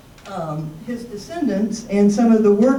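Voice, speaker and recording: A woman talks at a fairly slow pace, with room echo clearly audible. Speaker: local history presenter. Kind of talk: public presentation. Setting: senior center talk with audience.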